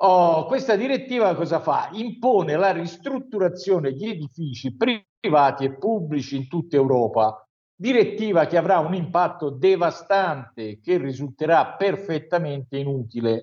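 A man's high-pitched voice with very wide pitch swings at a moderate pace. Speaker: news commentator. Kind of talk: news review.

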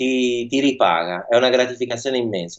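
Here is a man with an ordinary speaking voice. He is at a medium pitch and keeps a fairly quick pace. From northern Italy, Milan. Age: young. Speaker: chef. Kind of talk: radio interview.

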